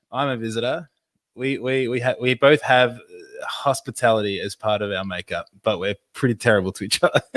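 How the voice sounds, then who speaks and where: In an Australian accent, a man talks at a fairly quick pace with medium pitch and ordinary pitch variation, recorded dry and close with no echo. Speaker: podcast co-host. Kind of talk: casual chat.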